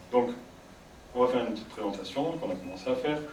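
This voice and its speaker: Noticeable background noise and audible room echo surround a man speaking at a very fast pace. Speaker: psychologist giving a conference. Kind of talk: public talk to audience. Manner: soft-spoken; sometimes very fast.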